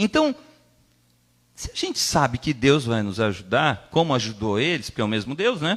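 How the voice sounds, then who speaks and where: A man at a medium pitch makes very wide pitch swings, with long, frequent pauses. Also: moderate pace. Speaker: preacher. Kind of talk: sermon.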